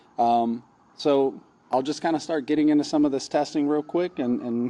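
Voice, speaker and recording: Noticeable background noise runs under a man speaking fairly quickly. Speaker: AV equipment reviewer. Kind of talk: product review demo. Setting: large insulated shop with metal walls, concrete floor. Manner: casual, many fillers; moderate volume, carrying voice.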